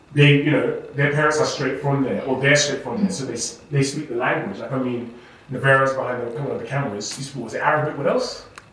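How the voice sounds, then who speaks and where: A man with a fairly high pitch talks at a very fast pace with hardly any pauses and ordinary pitch variation, over noticeable background noise and audible room echo. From England. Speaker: podcast host. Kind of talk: casual chat.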